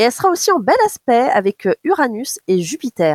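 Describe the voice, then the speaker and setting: Her voice high-pitched, a woman talks at a moderate pace in a dry, close sound with no echo. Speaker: radio astrologer. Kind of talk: astrology forecast on radio.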